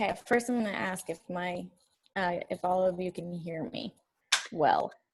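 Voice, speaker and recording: A woman at a moderate pace, medium in pitch with ordinary pitch variation. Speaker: teacher and fitness coach. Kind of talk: guest talk on video call.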